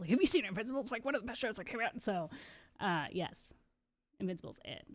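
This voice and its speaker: Talking at a very fast pace, a woman with a slight Californian accent uses lively intonation and an animated tone. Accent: slight California. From Southern California. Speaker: live streamer. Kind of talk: casual live stream chat. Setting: live stream.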